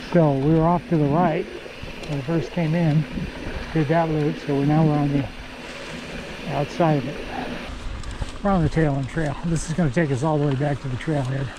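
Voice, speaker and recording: A man with a fairly high voice talks in a fairly even tone, leaving long, frequent pauses. Noticeable background noise and audible room echo fill the recording. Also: moderate pace. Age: 80s+. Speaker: mountain biking vlogger. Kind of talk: solo ride commentary. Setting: outdoors on a mountain bike trail. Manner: casual, intermittent.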